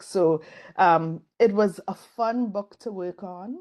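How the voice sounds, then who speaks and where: A woman speaks with a Caribbean accent. Her intonation is lively. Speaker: design professor and author. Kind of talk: interview conversation. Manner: conversational with fillers.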